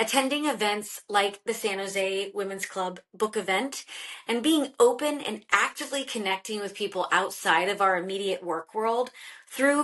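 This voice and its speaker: Here is a woman with an ordinary speaking voice, pitched fairly high. Her pace is moderate and her pitch varies in an ordinary way. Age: 30s. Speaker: podcast host and career coach. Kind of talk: podcast interview; scripted intro.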